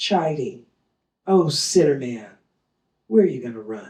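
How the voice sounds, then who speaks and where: A woman speaks in a dark, mellow tone with very wide pitch swings. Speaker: poet. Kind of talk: poetry reading. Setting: live reading.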